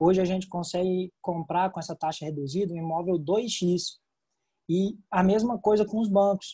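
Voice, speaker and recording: In a Brazilian accent, a man speaks at a fairly slow pace with a high pitch, ordinary pitch variation and a dark, mellow tone. The recording is very clean with a silent background, and the sound is dry and close with no echo. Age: 20s. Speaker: real estate agent. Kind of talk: interview.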